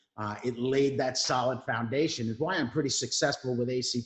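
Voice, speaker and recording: In a New York accent, a man talks at a medium pitch with ordinary pitch variation. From New York (Brooklyn). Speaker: Marine veteran, veteran mentoring executive. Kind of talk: interview.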